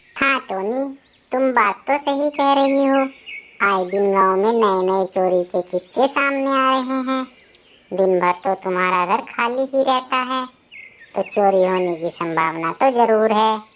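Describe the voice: A woman puts on a cartoonish character voice, fairly high in pitch with lively intonation, at a moderate pace.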